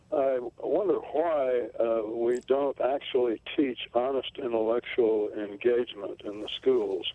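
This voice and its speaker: The speech moves at a very slow pace over noticeable background noise. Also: man. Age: 80s+. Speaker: retired caller. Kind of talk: call-in question. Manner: halting, many fillers.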